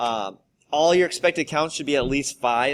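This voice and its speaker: A normal speaking voice at a moderate pace. Its pitch varies in an ordinary way. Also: man. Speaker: high school statistics teacher. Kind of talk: tutorial.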